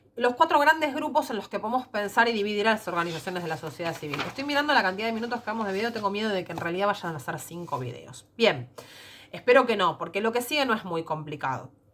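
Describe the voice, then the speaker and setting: A woman talking at a very fast pace with very wide pitch swings, over noticeable background noise. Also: medium pitch for a woman. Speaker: secondary school teacher. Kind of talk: recorded lecture. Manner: hesitant fillers.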